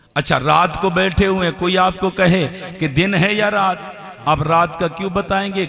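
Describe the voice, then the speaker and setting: Over noticeable background noise, a man speaks in a high voice with fairly even intonation. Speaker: Islamic religious speaker. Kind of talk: Islamic sermon to a live audience. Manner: rhetorical, asks the audience questions.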